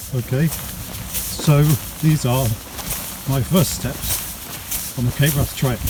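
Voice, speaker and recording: A man speaks at a very slow pace with a fairly high pitch and long, frequent pauses. His intonation is fairly even, over noticeable background noise. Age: 60s. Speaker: hiker vlogger. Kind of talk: vlog commentary. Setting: outdoors; in a tent.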